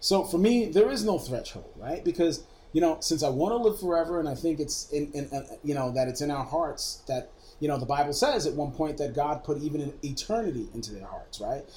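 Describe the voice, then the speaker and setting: A man with a fairly high pitch talks at a fairly quick pace in a dark, mellow, somewhat breathy tone with lively intonation. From Brooklyn, New York. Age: 40s. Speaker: media technology executive. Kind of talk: casual interview chat. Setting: drinking whiskey during recorded interview.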